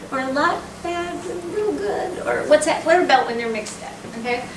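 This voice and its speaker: A woman with a high pitch speaks with lively intonation. Audible room echo and noticeable background noise are present. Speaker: professor. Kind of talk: lecture. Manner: fast; animated.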